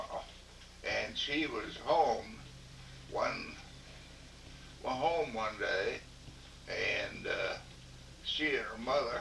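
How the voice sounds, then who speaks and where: A man with a Southern US accent speaks at a very slow pace. The recording has audible room echo and noticeable background noise. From Louisiana. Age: 80s+. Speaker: interviewee, elderly father. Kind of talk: casual family interview.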